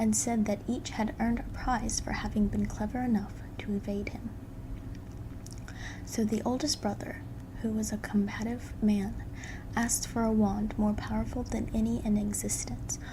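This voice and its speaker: At a moderate pace, the soft-spoken delivery is broken by long, frequent pauses. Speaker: ASMR creator. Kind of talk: bedtime story reading.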